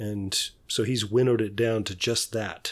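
This is a man speaking at a moderate pace with a medium pitch and ordinary pitch variation. The recording is very clean, with a silent background. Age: 60s. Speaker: podcast co-host. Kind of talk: casual chat. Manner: halting.

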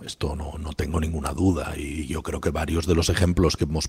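Very deep and low, this man's voice is also somewhat breathy. His pace is moderate. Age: 50s. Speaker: economics professor. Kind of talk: interview. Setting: remote call from office.

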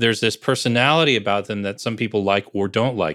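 This man speaks with an American accent and a bright, sharp tone on a very clean recording with a silent background. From northern New Jersey (Bergen County). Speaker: author, brand strategist and business coach. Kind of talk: casual interview chat.

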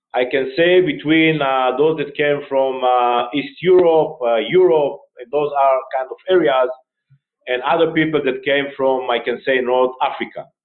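This voice has an Israeli accent and moves at a fairly slow pace. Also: man, fairly high pitch for a man. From northern Israel, Akko. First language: Hebrew. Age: 50s. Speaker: retired army general, charity director. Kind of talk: interview.

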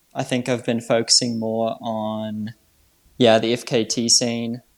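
At a very slow pace, a man speaks with a New Zealand accent. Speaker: trail runner. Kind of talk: interview.

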